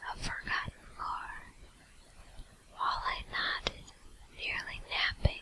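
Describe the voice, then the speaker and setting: Very slow whispering from a woman, broken up by long, frequent pauses. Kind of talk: ASMR whisper video. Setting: USB microphone at home computer. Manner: whispered, soft.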